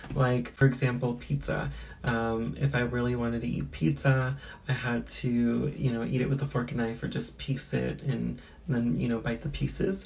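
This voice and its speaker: With audible room echo, a woman with a very deep, low pitch talks at a moderate pace with lively intonation. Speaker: beauty and lifestyle vlogger. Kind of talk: casual vlog talk to camera. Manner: casual with many fillers.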